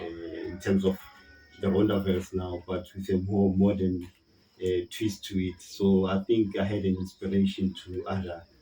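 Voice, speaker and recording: Music plays in the background while a man with a South African accent speaks at a moderate pace. His pitch is very deep and low, and his intonation is monotone and flat. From South Africa, Gauteng (KwaThema, Johannesburg). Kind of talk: interview answer. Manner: conversational, hesitant.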